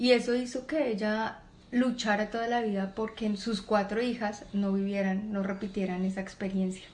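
With audible room echo, a woman talks at a moderate pace in a fairly high pitch and fairly even intonation. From Colombia, Bogotá. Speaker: mechanical engineer and entrepreneur. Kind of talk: interview. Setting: at a relative's home, not a studio.

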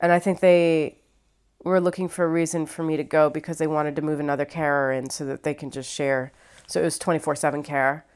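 In a very clean recording with a silent background, a woman talks at a very fast pace in a Midwestern accent. Her pitch is very deep and low, and her intonation stays fairly even. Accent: American Midwest. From Ohio, US Midwest. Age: 30s. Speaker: stand-up comedian. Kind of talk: casual interview.

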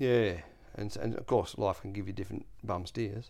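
With an Australian accent, a man of fairly low pitch speaks at a fairly slow pace and with fairly even intonation on a very clean recording with a silent background. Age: 40s. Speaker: landlord and self-taught maker. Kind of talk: casual chat.

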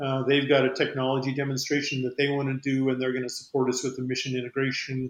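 A man with an American accent, medium in pitch, with monotone, flat intonation. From New Mexico, US. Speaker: aerospace company CEO. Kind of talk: interview.

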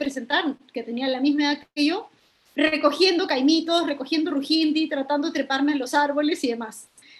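Her voice sits high for a woman, and this woman's pitch varies in an ordinary way. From Lima, Peru (Independencia district). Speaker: environmental educator. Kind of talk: interview conversation.

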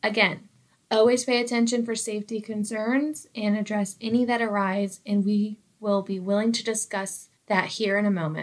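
With a plain, everyday voice and an American accent, a woman talks at a moderate pace with a fairly high pitch and fairly even intonation. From United States, small town. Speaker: workplace podcast co-host, employee engagement coordinator. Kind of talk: scripted educational podcast.

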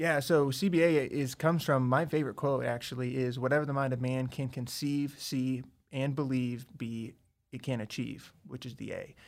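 Over a silent background in a very clean recording, a man with a plain, everyday voice talks at a moderate pace in a medium pitch with fairly even intonation. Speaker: startup founder. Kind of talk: casual chat. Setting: studio.

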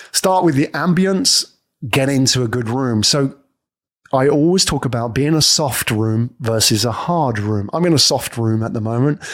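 A man with a British accent, medium pitch, moderate pace and lively intonation. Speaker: podcast host and coach. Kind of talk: scripted-style educational monologue. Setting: studio with microphone. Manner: animated, performed delivery.

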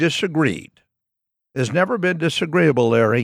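Fairly high-pitched male speech with an American accent. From Washington State (Walla Walla). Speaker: civil rights lawyer and legal analyst. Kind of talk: casual interview.

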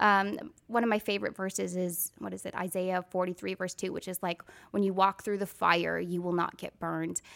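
A woman with an American accent speaks at a moderate pace in a plain, everyday voice, medium in pitch, with fairly even intonation and hardly any pauses, the sound dry and close with no echo on a very clean recording with a silent background. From Wisconsin. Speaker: bereaved mother. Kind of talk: testimony.

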